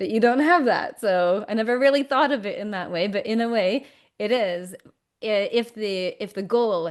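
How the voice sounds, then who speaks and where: A normal speaking voice from a woman with a Canadian accent, medium pitch and ordinary pitch variation, at a moderate pace against a quiet background. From Canada. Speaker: communication coach. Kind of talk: interview conversation.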